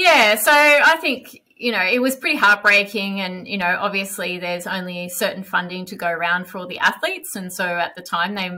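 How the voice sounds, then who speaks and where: Her tone is bright and sharp, and this woman speaks at a moderate pace with a medium pitch. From Australia. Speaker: elite marathon runner. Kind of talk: casual chat. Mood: reflective, calm. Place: home room. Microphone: headset.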